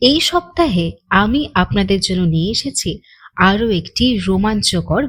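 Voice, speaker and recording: Recorded very cleanly against a silent background, a woman speaks with vocal fry and very wide pitch swings. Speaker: audio story narrator. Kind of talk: channel intro to listeners.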